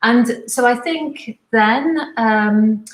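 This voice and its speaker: This woman has a Liverpool accent. Her voice is somewhat breathy and fairly high in pitch. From Liverpool, northern England. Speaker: fashion professor. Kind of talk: interview.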